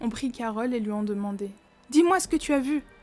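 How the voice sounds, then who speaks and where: A woman's voice with music in the background. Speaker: horror storyteller and makeup creator. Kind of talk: horror story narration.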